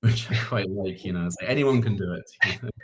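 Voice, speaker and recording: Music plays behind a man speaking. His fairly low voice has ordinary pitch variation. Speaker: startup community lead. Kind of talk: panel Q&A. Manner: hesitant, filler-heavy.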